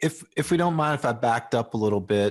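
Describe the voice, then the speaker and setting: This man has a normal speaking voice at medium pitch. His intonation is lively. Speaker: media producer, co-host.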